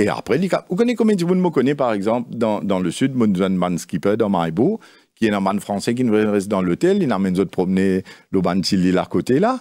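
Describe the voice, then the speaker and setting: Over a quiet background, a man with a fairly low pitch and a dark, mellow tone talks at a moderate pace, his intonation lively and his loudness very even. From Mauritius. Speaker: political party leader; guest. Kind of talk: political debate interview. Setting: studio. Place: studio. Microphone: studio mic.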